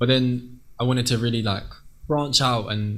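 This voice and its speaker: A man's medium-pitched voice at a moderate pace, monotone and flat, with audible room echo. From England. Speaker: singer. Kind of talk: interview.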